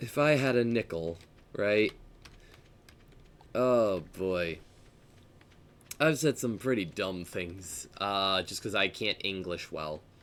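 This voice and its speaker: Using lively intonation at a fairly low pitch, a man talks at a very slow pace with long, frequent pauses. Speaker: gaming streamer. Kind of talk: live gameplay stream chat. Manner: chatty, rambling with fillers.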